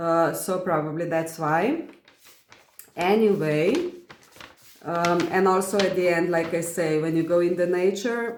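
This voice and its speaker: A woman with a non-native accent speaks at a fairly slow pace with long, frequent pauses, her fairly low voice keeping a fairly even intonation and very even loudness, with audible room echo. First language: not English. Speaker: spiritual content creator. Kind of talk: reading aloud from personal journal with commentary. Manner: halting, many fillers.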